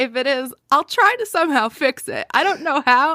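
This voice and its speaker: A woman's high, raised, projected voice in an American accent, bright and sharp in tone, at a moderate pace, with a dry, close sound with no echo. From New York. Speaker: theme park YouTuber and podcast co-host. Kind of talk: casual chat. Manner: strong enunciation, hard P sounds.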